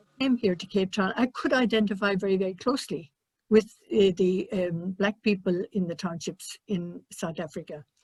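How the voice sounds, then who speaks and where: Speaking with an Irish accent, a woman sounds somewhat breathy, with big swings in loudness. The sound is dry and close, with no echo. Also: medium pitch for a woman, ordinary pitch variation, moderate pace. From Ireland. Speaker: missionary nun. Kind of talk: panel discussion. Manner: halting.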